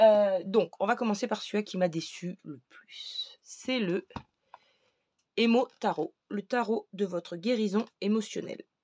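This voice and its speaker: Her voice sits fairly high and has a dark, mellow tone with ordinary pitch variation. The woman's loudness swings widely. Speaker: tarot and oracle card reviewer. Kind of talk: casual product review. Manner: hesitant, many fillers.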